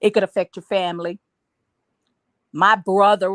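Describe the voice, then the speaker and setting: A woman with an unremarkable speaking voice is heard in a dry, close sound with no echo. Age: 60s. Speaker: panelist. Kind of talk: panel discussion.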